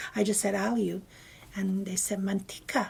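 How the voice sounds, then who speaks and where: The woman's voice is somewhat breathy. She speaks with noticeable breath in her tone. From Guam. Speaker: interviewee sharing life memories. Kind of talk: oral history interview. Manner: halting.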